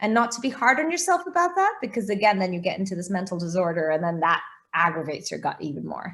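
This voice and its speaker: The speaker talks at a very fast pace with an American accent. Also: woman. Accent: sounds American. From Portugal, international schooling. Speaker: food blogger, recipe website founder. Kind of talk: interview.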